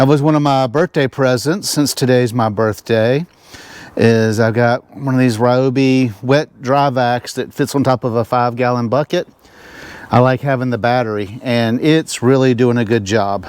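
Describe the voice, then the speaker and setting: With a Southern US accent, a man talks at a moderate pace in a medium pitch with fairly even intonation. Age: 60s. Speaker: RV vlogger. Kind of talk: casual vlog narration.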